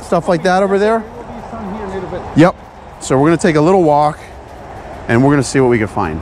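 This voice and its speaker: The speech comes at a very fast pace. The sound is dry with no echo, over light background noise. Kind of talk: casual vlog chat. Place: open country. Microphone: phone near.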